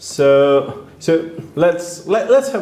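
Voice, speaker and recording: A man speaks with a Hungarian accent and lively intonation. Noticeable background noise runs underneath. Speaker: event moderator. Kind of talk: moderated Q&A. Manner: halting, hesitant.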